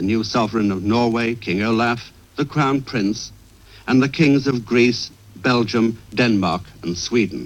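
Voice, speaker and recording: In a normal speaking voice, a man keeps to a medium pitch and varies it in an ordinary way. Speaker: radio correspondent. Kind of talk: radio news report, live commentary.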